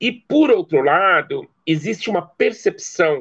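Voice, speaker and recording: His pitch swinging very widely, a man delivers his words very slowly. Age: 50s. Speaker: anthropology professor. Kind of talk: interview. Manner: hesitant with repetitions.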